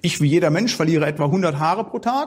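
The man's intonation is lively as he talks.

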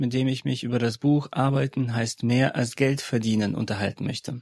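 At a moderate pace, a man talks at a medium pitch with ordinary pitch variation and a slightly mellow tone.

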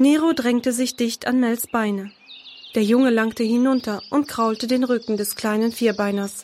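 A slightly mellow tone at a fairly slow pace with ordinary pitch variation. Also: woman, fairly high pitch for a woman.

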